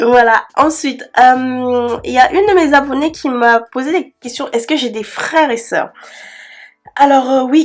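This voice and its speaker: Her voice high and her tone animated, a woman speaks at a fairly slow pace with lively intonation. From Cameroon. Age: 20s. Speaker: beauty youtuber. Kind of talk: casual Q&A vlog. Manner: chatty, animated; hesitant fillers.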